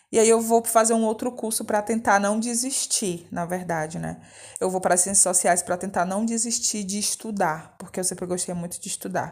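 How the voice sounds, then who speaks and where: Her intonation stays fairly even at a medium pitch. The woman keeps a moderate pace. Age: 30s. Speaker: theatre director and teacher. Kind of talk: interview testimony. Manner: talkative.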